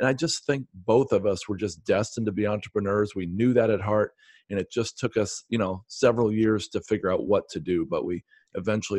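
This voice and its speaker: Talking at a fairly quick pace, a man with a fairly low pitch and ordinary pitch variation has an ordinary speaking voice, recorded with a dry, close sound with no echo against a quiet background. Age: 50s. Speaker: real estate investor. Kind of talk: interview.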